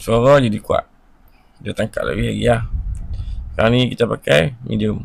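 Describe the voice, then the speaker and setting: The man talks fairly slowly. Long pauses come often in his speech. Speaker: tech gadget vlogger. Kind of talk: product review. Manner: casual, conversational.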